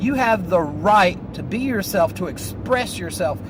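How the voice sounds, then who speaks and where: Over noticeable background noise, a man with a Southern accent speaks at a fairly slow pace in an animated tone with lively intonation. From US South, North Carolina. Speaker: vlogger. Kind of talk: casual monologue vlog. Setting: in a car.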